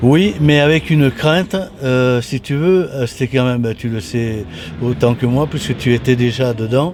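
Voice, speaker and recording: A man speaks fairly slowly, with ordinary pitch variation, as noticeable background noise runs behind him. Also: medium pitch for a man. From southern France, Toulon. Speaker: retired motorcycle racer. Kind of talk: interview. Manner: halting, many repetitions and hesitations.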